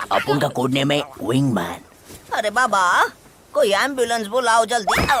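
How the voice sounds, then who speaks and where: Someone uses a put-on character voice at a fairly high pitch and a moderate pace. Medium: fan dub. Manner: chatty, dramatic.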